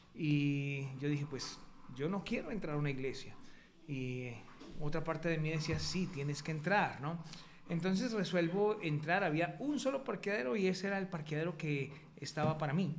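In a room with audible echo, a man talks at a moderate pace with a fairly high pitch and ordinary pitch variation. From Colombia. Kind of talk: testimony. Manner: halting.

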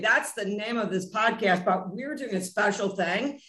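A woman speaks at a moderate pace with ordinary pitch variation and an unremarkable speaking voice. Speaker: podcast host. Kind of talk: casual interview chat.

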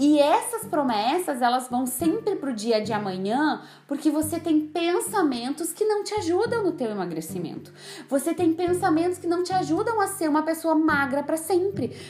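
Over noticeable background noise, a woman speaks at a moderate pace with an extremely high pitch that swings very widely. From Brazil, Rio Grande do Sul (São Borja). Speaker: nutritionist and weight-loss coach. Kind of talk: solo podcast monologue.

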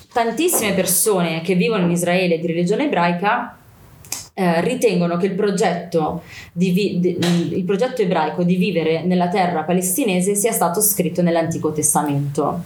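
Noticeable background noise and audible room echo around a fairly low-pitched woman's voice, moderate in pace. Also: ordinary pitch variation. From Milan, Italy. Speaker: activist speaker on Palestine. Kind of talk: interview.

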